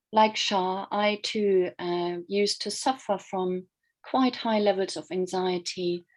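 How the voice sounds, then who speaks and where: With a German accent, a woman speaks at a very slow pace and a medium pitch. Her intonation is fairly even against a quiet background. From Germany. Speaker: life coach and mindfulness teacher. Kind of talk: online workshop presentation.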